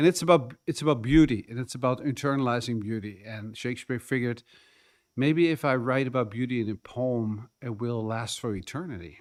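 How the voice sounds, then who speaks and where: Over a silent background in a very clean recording, a man with a Dutch accent speaks at a fairly quick pace, with a medium pitch and ordinary pitch variation. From Netherlands. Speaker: community delegate, poetry reader. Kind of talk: public presentation at council meeting.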